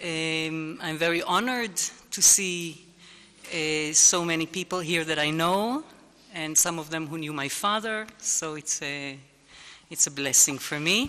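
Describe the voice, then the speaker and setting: With an Israeli accent, a woman speaks very slowly at a fairly low pitch with ordinary pitch variation. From Israel, Jerusalem. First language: Hebrew. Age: 60s. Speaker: lecturer on interreligious relations. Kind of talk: lecture.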